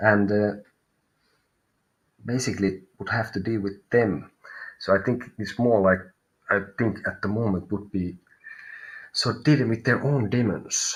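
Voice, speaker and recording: A man with a Finnish accent speaks at a fairly slow pace in a fairly low pitch, his intonation fairly even and broken by long, frequent pauses. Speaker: tarot reader. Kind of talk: live stream reading. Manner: halting.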